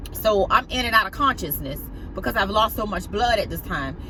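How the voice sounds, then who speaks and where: A woman talks in a strong Southern US accent. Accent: heavy Southern US. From US South. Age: 40s. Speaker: vlogger. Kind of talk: personal testimony. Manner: halting.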